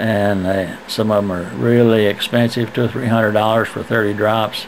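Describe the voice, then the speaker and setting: Amid noticeable background noise, a man speaks at a moderate pace. His pitch is fairly low and his intonation fairly even. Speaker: retiree making video letters to friends. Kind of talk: casual video letter.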